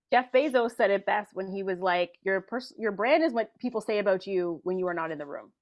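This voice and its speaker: A woman with a normal speaking voice, medium pitch, lively intonation and hardly any pauses. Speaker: personal branding consultant. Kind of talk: casual interview chat.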